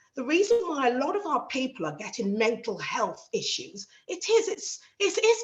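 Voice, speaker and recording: In a South London accent, a woman with a high voice speaks at a moderate pace with hardly any pauses and very wide pitch swings. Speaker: panel speaker, magistrate and community advocate. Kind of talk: panel talk. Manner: animated.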